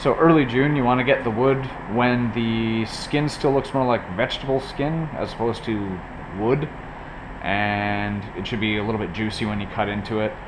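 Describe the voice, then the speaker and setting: Noticeable background noise sits behind a man with a medium pitch. He speaks at a moderate pace with ordinary pitch variation. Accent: Canadian. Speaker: woodcarving hobbyist. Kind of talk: casual tutorial talk to camera. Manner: casual, salty language.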